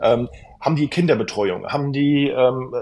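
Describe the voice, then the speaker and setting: This man's voice sits at a fairly high pitch and sounds somewhat breathy. His pitch varies in an ordinary way. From Hesse, near Frankfurt. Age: 30s. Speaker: travel consultant and content creator. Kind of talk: casual interview. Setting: remote call.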